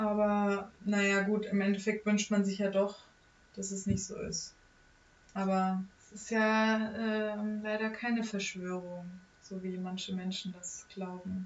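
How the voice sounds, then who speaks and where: A woman speaks very slowly at a medium pitch in a flat monotone. Her loudness swings widely. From Germany, small town. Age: 20s. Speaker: university student and guest on parent's podcast. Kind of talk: casual chat.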